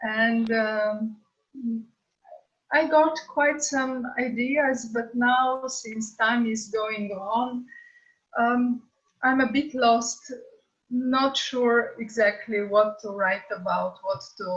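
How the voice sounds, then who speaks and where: At a very slow pace with long, frequent pauses, a woman speaks in a fairly high pitch with ordinary pitch variation. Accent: Slovenian. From Slovenia. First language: Slovenian. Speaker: author. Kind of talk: casual chat. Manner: hesitant.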